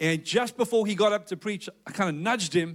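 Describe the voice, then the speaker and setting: Delivered at a fairly quick pace, the speech is in a South African accent. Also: man. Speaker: pastor. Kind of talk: sermon. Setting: church with congregation.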